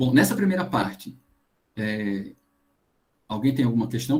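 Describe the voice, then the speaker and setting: A man's somewhat breathy voice at medium pitch. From Paraíba coast, Brazil. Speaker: geoscience lecturer. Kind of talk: online lecture. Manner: fast.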